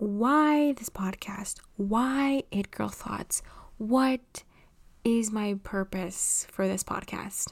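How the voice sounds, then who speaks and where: In an American accent, a woman speaks at a very slow pace with long, frequent pauses and ordinary pitch variation, on a very clean recording with a silent background. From Los Angeles, California. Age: 20s. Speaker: podcast host and writer. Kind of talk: solo monologue podcast.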